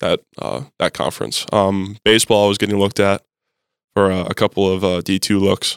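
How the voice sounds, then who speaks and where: With an Upper Midwest accent, a man talks at a fairly quick pace in a fairly low pitch with fairly even intonation, the sound dry and close with no echo in a very clean recording with a silent background. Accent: Upper Midwest American. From North Dakota. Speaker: college football player. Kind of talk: casual interview.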